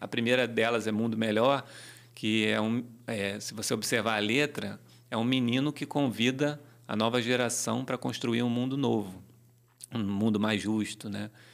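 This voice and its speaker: The man talks at a moderate pace, with long pauses coming often. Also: medium pitch for a man, fairly even intonation, very clean recording, silent background. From Rio de Janeiro, Brazil (Tijuca, north zone). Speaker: reggae musician and songwriter. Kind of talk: casual interview.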